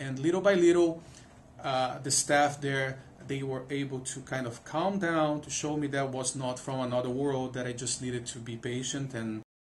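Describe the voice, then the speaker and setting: A man talks at a moderate pace with a medium pitch, a somewhat breathy quality and fairly even intonation, in a non-native accent. Room echo is audible. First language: not English. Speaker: music professor. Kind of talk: interview. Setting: studio. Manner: halting, many repetitions.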